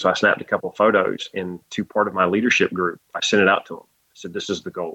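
A man's bright, sharp tone with a North Carolina accent, at a fairly quick pace against a quiet background. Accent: Southern US (North Carolina). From US South, North Carolina (Laurinburg). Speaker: college baseball head coach. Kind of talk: interview. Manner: thoughtful.

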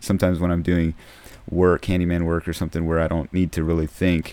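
A man speaks at a very fast pace in a very deep, low voice with a dark, mellow tone. His intonation is monotone and flat. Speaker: podcast host and Bible college student. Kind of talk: casual solo podcast monologue. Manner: conversational, halting with fillers.

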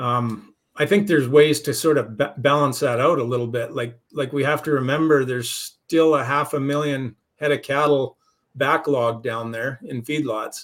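A man with an unremarkable speaking voice talks at a moderate pace with fairly even intonation. His pitch is fairly high, and the recording is very clean with a silent background. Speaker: cattle market analyst. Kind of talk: casual market discussion.

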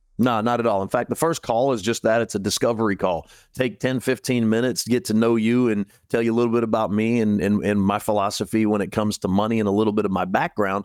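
A man talks very fast in a fairly low voice with very even loudness. The sound is dry and close, with no echo. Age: 50s. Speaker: financial radio host. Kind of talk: radio talk show. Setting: studio. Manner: animated.

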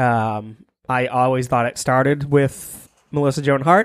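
A man speaks with an unremarkable speaking voice at medium pitch, with ordinary pitch variation. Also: dry, close sound with no echo. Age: 30s. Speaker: podcast co-host. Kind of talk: casual banter. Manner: joking, irreverent.

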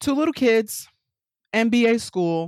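Speaking with a New York accent, a woman sounds animated, her pitch swinging very widely. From New York City. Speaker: business consultant. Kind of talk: casual interview.

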